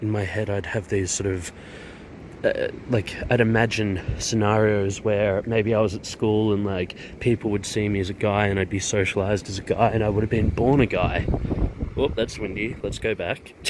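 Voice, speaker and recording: Noticeable background noise surrounds a man with an Australian accent. His voice is fairly low and flat, in a monotone. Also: moderate pace. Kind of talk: personal vlog monologue.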